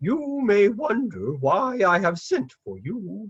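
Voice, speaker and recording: Using a put-on character voice, a man talks at a fairly slow pace with a pitch that is high for a man. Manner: sad.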